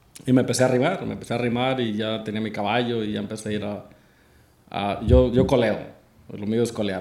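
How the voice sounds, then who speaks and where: Speaking at a very fast pace, a man with a medium pitch, vocal fry and fairly even intonation is heard with audible room echo. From Mexico. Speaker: charreada announcer, former coleador. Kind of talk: casual interview chat.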